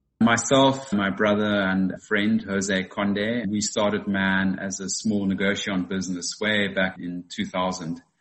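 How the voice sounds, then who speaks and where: The speaker goes at a fairly slow pace in a South African accent. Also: man. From South Africa, Western Cape. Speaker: winemaker. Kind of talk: interview.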